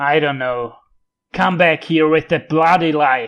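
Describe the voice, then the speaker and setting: Putting on a character voice, a man speaks at a fairly slow pace with fairly even intonation. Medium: read story. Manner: coarse, griping.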